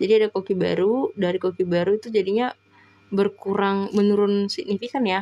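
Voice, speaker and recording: Noticeable noise runs in the background. The intonation stays fairly even. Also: woman. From Medan, North Sumatra (Batak). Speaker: online test-prep tutor. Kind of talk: live-stream tutorial. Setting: live stream. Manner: casual, chatty.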